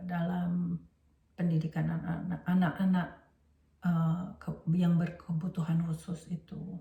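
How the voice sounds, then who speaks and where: A woman speaks in a fairly low pitch at a fairly slow pace. Her intonation stays monotone and flat. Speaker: teacher and educational trainer. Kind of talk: lecture. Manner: halting, many fillers.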